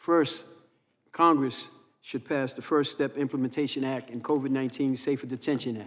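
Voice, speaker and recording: At a moderate pace and medium pitch, a man with fairly even intonation has a normal speaking voice. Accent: American. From New York City (Harlem). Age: 60s. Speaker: criminal justice advocate, former prisoner. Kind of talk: congressional testimony.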